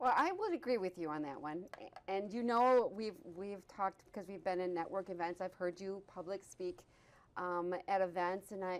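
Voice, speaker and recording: Her voice is a woman's medium pitch with ordinary pitch variation. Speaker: talk show host. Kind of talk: interview. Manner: fast.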